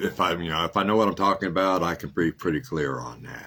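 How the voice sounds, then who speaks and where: A man talks with vocal fry at a very deep, low pitch. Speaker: podcast host running a housing ministry. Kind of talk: casual monologue. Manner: halting.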